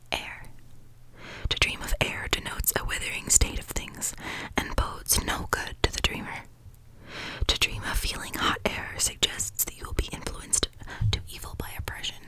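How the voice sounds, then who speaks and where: A whisper at a moderate pace, calm and soothing in tone, with long, frequent pauses and noticeable background noise. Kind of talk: ASMR reading of a dream dictionary. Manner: whispered; soft, calm, soothing.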